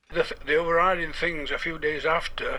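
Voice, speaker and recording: Noticeable background noise sits under a speaker with a strong Yorkshire accent talking at a moderate pace. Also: man. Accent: thick Yorkshire. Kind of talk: radio interview answer.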